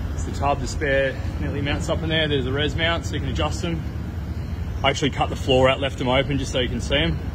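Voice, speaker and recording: Very fast speech from a man against noticeable background noise. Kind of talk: casual vlog chat. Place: garage. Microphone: phone near.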